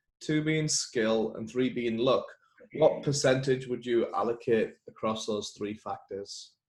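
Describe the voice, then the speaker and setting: A man speaks very slowly with an English accent. His voice is somewhat breathy. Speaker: interviewer, podcast host.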